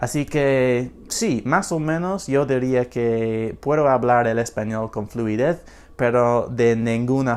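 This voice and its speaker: Speaking very slowly with a strong non-native accent, a man uses ordinary pitch variation. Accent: strong foreign accent in Spanish. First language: English (speaking Spanish). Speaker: language learner vlogger. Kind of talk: unscripted casual vlog. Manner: halting, many fillers and repetitions.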